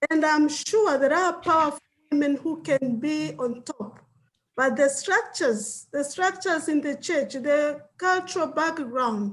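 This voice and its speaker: A woman talks at a fairly slow pace with a high pitch. Her intonation is lively. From Tanzania. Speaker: pastor and theologian. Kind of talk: panel discussion.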